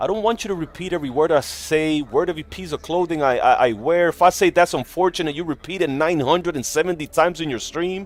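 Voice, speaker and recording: Animated in tone, a man with a non-native accent speaks fairly quickly at a fairly high pitch with ordinary pitch variation. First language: not English. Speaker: gaming livestreamer. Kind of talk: casual live stream chat. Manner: casual, animated.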